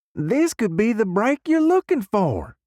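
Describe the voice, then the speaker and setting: A man's high, put-on character voice with very wide pitch swings, a fairly slow pace, and a dry, close sound with no echo. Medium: read story. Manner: easygoing, chatty.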